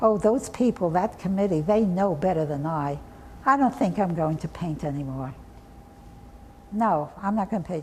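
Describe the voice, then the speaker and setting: A somewhat breathy woman's voice at medium pitch, with lively intonation, a moderate pace, and long, frequent pauses. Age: 80s+. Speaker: artist and art educator. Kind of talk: interview answer.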